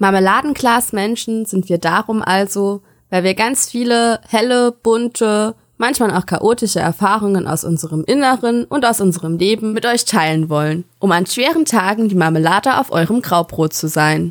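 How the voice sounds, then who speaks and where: In a normal speaking voice of medium pitch, a woman talks at a moderate pace with lively intonation and very even loudness, in a dry, close sound with no echo. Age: 20s. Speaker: podcast co-host, educator and social work student. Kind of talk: scripted podcast intro.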